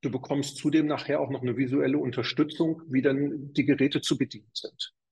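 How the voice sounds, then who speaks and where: A man's somewhat breathy voice, fairly high in pitch, in a monotone, flat delivery. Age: 50s. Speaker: fitness studio chain manager. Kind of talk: interview.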